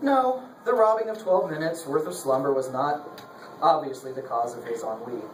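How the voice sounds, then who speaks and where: A man's fairly high voice at a moderate pace, full of very wide pitch swings, over noticeable background noise. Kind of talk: live dramatic reading of a novel chapter, narration with character voices.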